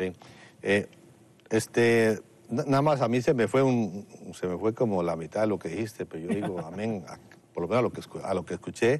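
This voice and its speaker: The speaker moves at a fairly quick pace with lively intonation and long, frequent pauses. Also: man, fairly low pitch for a man. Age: 60s. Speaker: pastor. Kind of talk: panel discussion.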